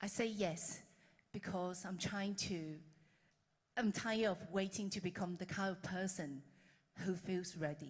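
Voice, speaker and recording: A woman with a medium pitch speaks at a fairly slow pace, with long, frequent pauses. Her voice is somewhat breathy and her intonation fairly even. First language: not English. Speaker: conference speaker. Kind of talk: lightning talk.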